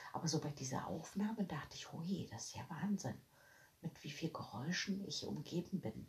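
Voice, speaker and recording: Her pitch very deep and low, a woman talks with lively intonation and vocal fry. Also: moderate pace. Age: 40s. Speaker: podcaster. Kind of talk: casual monologue. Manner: animated.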